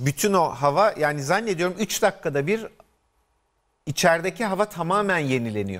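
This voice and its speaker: A man's pitch swings very widely as he talks at a moderate pace against a quiet background. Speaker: physician co-host. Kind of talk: TV health talk show. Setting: studio. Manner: jovial. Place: studio.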